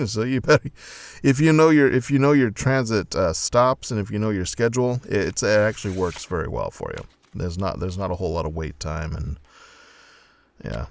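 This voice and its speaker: Fairly quick speech from a man with an American accent, fairly low-pitched, with very wide pitch swings. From US Pacific Northwest, Oregon. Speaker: comedian. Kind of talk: stand-up. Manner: halting.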